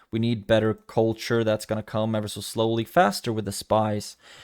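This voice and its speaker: In a very clean recording with a silent background, a man talks in a flat monotone at a fairly low pitch. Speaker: gaming youtuber. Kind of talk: gameplay commentary.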